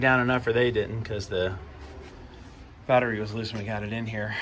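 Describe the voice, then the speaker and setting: A man talks fairly quickly in a space with audible room echo. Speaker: YouTuber, vlogger. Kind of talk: casual vlog. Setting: at home, garage.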